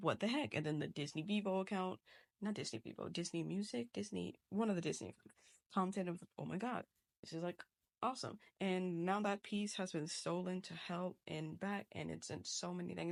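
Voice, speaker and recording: This woman has a fairly low pitch. She talks at a fairly quick pace. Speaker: digital artist. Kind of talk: casual chat. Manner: fast; animated.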